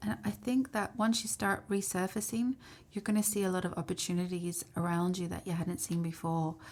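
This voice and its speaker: A woman with a medium pitch and a somewhat breathy voice talks at a fairly quick pace. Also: ordinary pitch variation. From South Africa. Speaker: kinesiologist and tarot reader. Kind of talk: tarot reading to camera. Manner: casual, conversational.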